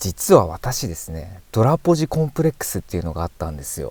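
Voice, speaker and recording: A man's dark, mellow voice at a fairly quick pace with very wide pitch swings, in a very clean recording with a silent background. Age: 40s. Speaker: car YouTuber. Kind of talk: casual talk to camera while driving.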